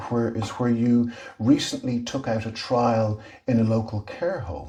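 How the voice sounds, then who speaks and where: Noticeable background noise surrounds the clip. A man speaks with ordinary pitch variation. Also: medium pitch for a man, fairly slow pace. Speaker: interviewer and series host. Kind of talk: interview questions.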